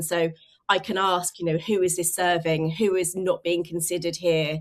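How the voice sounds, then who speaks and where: With a southern English accent, a woman talks at a moderate pace in a fairly low pitch with fairly even intonation. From England, rural Suffolk. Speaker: communications consultant. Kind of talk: interview.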